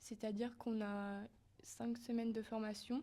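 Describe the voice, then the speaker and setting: A woman speaks in a dark, mellow tone at a fairly high pitch, fairly slowly and with monotone, flat intonation. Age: 20s. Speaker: volunteer firefighter and nursing student. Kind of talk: interview. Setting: mobile TV studio in town hall.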